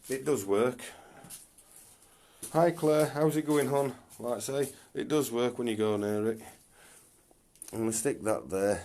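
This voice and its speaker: Using a northern English accent, a man with a dark, mellow tone and medium pitch speaks at a fairly slow pace, his pitch varying in an ordinary way and his words separated by long, frequent pauses. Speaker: paranormal investigator. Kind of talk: live stream ghost hunt narration.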